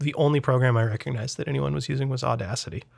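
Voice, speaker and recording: A man's animated, very fast delivery at a medium pitch. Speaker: podcast host. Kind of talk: casual comedic chat. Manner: joking, animated.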